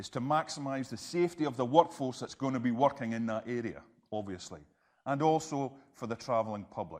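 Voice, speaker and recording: On a very clean recording with a silent background, a man speaks with a Scottish accent. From Scotland. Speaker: health and safety trainer. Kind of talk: interactive presentation. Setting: presentation room with audience. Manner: fast when excited.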